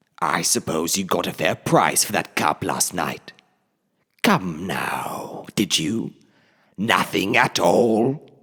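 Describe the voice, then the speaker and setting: A man uses a put-on character voice that is raspy and very deep, speaking at a very slow pace. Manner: taunting, menacing.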